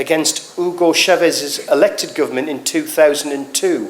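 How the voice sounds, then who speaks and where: A man speaks with a northeast English accent. Noticeable background noise runs underneath. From northeast England. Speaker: political speaker. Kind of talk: rally speech.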